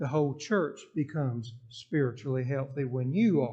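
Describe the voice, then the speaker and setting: With audible room echo, a man in a Southern US accent speaks at a fairly high pitch with ordinary pitch variation and a somewhat breathy, dark, mellow tone. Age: 70s. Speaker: interim pastor. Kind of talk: Q&A session in church. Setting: church.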